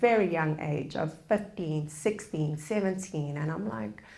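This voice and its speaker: Audible room echo surrounds a woman with a South African accent. She speaks fairly slowly at a fairly low pitch, with ordinary pitch variation. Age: 30s. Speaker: public speaker on forgiveness. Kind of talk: public lecture.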